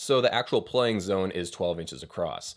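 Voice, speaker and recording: With lively intonation, a man speaks fairly quickly. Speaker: drum gear reviewer. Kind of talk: product review. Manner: fast; casual.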